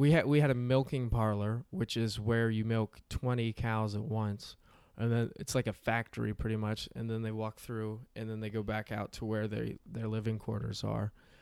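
In a very clean recording with a silent background, a man with a normal speaking voice and an American accent talks at a moderate pace and medium pitch, with fairly even intonation and hardly any pauses. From rural Pennsylvania. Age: 20s. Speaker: comedian, former dairy farmer. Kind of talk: casual chat.

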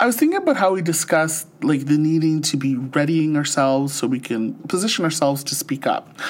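A Canadian accent at a moderate pace, with hardly any pauses and noticeable background noise. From St. Catharines, Ontario. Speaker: podcast co-host. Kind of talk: casual chat. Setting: remote podcast recording. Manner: laughs often.

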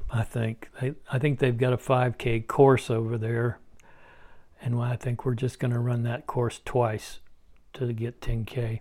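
A man's medium-pitched, dark, mellow voice, somewhat breathy, with monotone, flat intonation at a very slow pace. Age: 70s. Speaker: running podcast host. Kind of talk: solo podcast monologue. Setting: hotel room, lying in bed. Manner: halting, with filler words.

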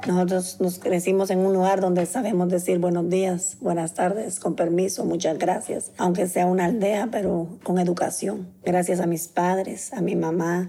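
At a moderate pace, a woman speaks in a medium pitch with monotone, flat intonation over noticeable background noise. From Guatemala, Zacapa. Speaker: bereaved mother, nanny. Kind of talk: testimony.

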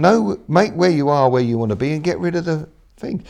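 A man's fairly high, dark and mellow voice at a moderate pace, with ordinary pitch variation. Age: 60s. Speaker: mindset coach and speaker. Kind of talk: interview. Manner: halting.

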